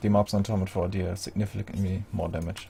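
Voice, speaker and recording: Spoken at a fairly quick pace, the voice carries a non-native accent. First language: not English. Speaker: video game guide creator. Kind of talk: gameplay tutorial. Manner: casual, hesitant with fillers.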